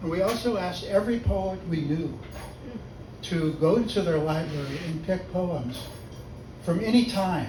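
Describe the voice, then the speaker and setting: A man with an American accent, fairly high in pitch, at a fairly slow pace, with audible room echo. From US West Coast (Los Angeles). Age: 80s+. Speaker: poet. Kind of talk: poetry reading.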